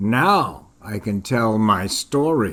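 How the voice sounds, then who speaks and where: A raspy, medium-pitched put-on character voice from a man. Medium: read story.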